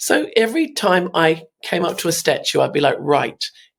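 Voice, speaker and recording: The speaker is a woman. She has a British accent. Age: 50s. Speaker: artist. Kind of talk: podcast interview. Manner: animated.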